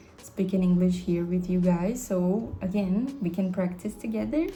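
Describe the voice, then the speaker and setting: A woman's medium-pitched voice in a Brazilian accent, lively in intonation, with audible room echo. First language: Portuguese. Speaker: vlogger and English tutor. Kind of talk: casual vlog.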